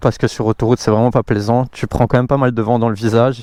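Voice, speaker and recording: Dry and close with no echo, a man at medium pitch speaks in a monotone, flat intonation. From Belgium, Brussels. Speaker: motorcycle vlogger. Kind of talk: casual vlog presentation. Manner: hesitant, many fillers.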